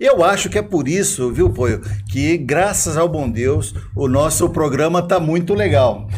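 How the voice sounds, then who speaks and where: Fairly slow pace and lively intonation, with audible room echo. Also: man, fairly high pitch for a man. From Brazil, Osasco (São Paulo). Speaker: podcast co-host. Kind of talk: casual chat.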